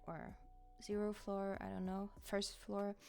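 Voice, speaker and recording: A woman's medium-pitched, fairly slow speech with music in the background. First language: not English. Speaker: gaming YouTuber. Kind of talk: voiceover commentary on gameplay. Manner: hesitant, many fillers.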